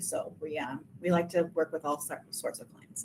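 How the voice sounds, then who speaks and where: A woman with a strong Minnesotan accent talks at a fairly quick pace. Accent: thick Minnesotan. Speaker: realtor. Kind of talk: webinar presentation. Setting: video call webinar.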